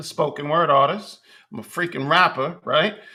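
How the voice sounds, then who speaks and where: A man speaks in a New York accent with ordinary pitch variation. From New York City (Bronx, Manhattan, Queens). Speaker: podcast host, rapper and spoken word artist. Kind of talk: casual monologue. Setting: livestream.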